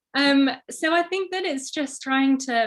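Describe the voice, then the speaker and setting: A woman speaks with a Yorkshire accent. Her tone is bright and sharp. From northern England, Sheffield. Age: 20s. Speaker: social media creator. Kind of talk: interview. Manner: hesitant, many fillers.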